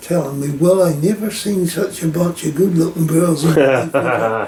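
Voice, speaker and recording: A man's fairly high voice with a Newfoundland accent, at a moderate pace, over noticeable background noise. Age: 80s+. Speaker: elderly local resident. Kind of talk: casual chat.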